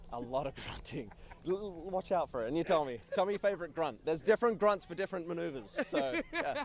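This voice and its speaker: Over noticeable background noise, a man with an Australian accent speaks very fast at a high pitch, enthusiastic in tone and with very wide pitch swings. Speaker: aerobatic pilot. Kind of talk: casual interview.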